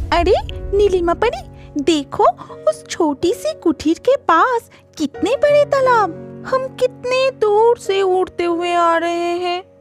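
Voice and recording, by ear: In a cartoonish character voice, a female-sounding voice speaks at an extremely high pitch and a very slow pace over faint music in the background.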